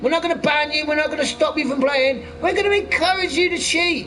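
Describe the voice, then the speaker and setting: A man with a West Country accent talks over noticeable background noise. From Cornwall, southwest England. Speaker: gaming streamer. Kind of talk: casual live-stream chat while gaming. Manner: animated.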